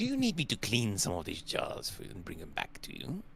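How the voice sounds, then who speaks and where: Using a put-on character voice, a man talks at a fairly quick pace over clear background noise. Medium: actual play. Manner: hesitant, stammering, formal.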